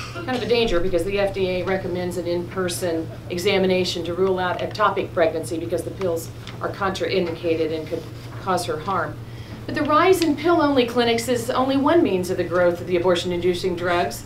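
Music plays in the background as a woman talks at a fairly quick pace. Her fairly low voice swings very widely in pitch. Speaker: witness. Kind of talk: formal testimony. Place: meeting room.

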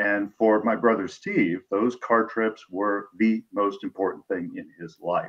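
The background stays quiet while a man speaks fairly slowly. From US Midwest, Peoria, Illinois; Illinois. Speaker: author; guest. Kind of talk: interview. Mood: warm, reflective storytelling. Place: home room. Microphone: video call.

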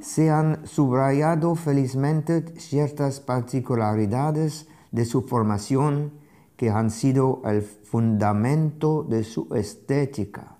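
With a strong non-native accent, a man speaks very slowly in a fairly high voice with a dark, mellow tone and very even loudness over a quiet background. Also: ordinary pitch variation. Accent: foreign accent in Spanish, strong. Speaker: art critic and curator, lecturer; lecturer. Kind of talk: lecture read aloud from a translated text. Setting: remote streamed video from Paris. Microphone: lapel.

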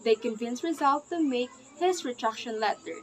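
Through light background noise, a woman speaks at a moderate pace in a high voice with ordinary pitch variation. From Philippines. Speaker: student presenter; presenter. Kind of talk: class presentation. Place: home room. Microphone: webcam.

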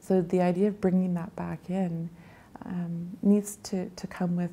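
A woman speaks at a very slow pace in a fairly low, somewhat breathy voice with monotone, flat intonation. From Grand Rapids, Manitoba, Canada; Cree First Nation. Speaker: nurse. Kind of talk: interview answer. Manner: thoughtful, reflective. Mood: thoughtful, reflective, gently emotional. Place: home room.

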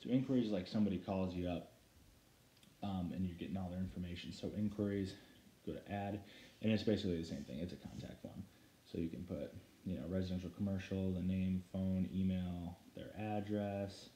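Audible room echo carries a man's very deep, low voice. He talks at a fairly quick pace with fairly even intonation. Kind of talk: tutorial. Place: home room. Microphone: phone near.

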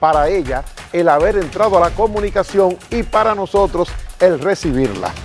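Over faint music in the background, a man speaks at a moderate pace. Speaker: TV show host. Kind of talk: TV show introduction. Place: studio. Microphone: lapel.

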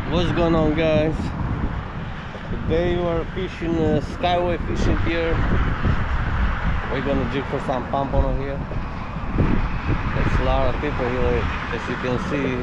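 A man speaks at a moderate pace with long, frequent pauses. Loud background noise fills the dry, echo-free sound. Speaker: fishing vlogger. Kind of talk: casual vlog chat. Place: waterside. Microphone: phone near.

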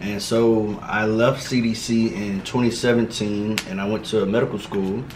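A man with an American accent speaks at a fairly low pitch and a very slow pace. He hardly pauses, and background noise is noticeable. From Miami, Florida. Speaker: medical student. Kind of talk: casual chat while eating. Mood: relaxed, thoughtful. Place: home room.

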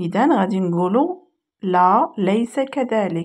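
A woman with a Moroccan accent is heard on a very clean recording with a silent background. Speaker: English teacher. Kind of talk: tutorial.

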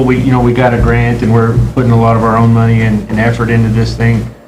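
Audible room echo and noticeable background noise around a male speaker. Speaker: city official giving staff report. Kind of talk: report at city council meeting. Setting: city council meeting. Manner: fast.

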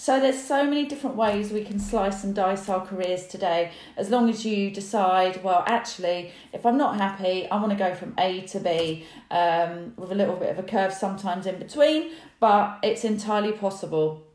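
Ordinary pitch variation amid audible room echo. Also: woman, moderate pace. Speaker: career coach. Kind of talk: casual vlog chat. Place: home room. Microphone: phone near.

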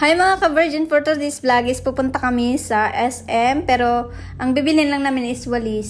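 Over noticeable background noise, a woman with a high pitch sounds animated at a moderate pace. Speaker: vlogger. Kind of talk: vlog voice-over narration.

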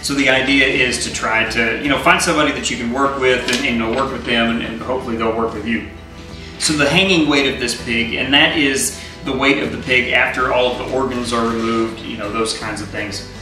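With clear music in the background and audible room echo, a man talks at a fairly quick pace with ordinary pitch variation. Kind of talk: casual explainer. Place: kitchen. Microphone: camera far.

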